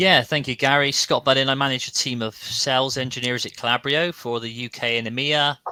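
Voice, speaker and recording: Speech in a West Country accent moves at a fairly quick pace with hardly any pauses and fairly even intonation. Noticeable background noise sits behind it. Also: man, medium pitch for a man. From South West England, Bristol. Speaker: sales engineering manager, panelist. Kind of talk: live panel webinar.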